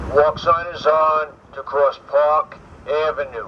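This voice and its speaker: This man speaks very slowly with a New York accent. Noticeable background noise runs behind him. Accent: New York City. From New York City. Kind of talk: pre-recorded public announcement. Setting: outdoor street speaker.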